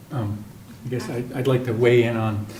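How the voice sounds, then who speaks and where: A man with a medium pitch keeps his intonation fairly even. Audible room echo surrounds his voice. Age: 60s. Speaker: town councilor. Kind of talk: town meeting discussion. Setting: council meeting.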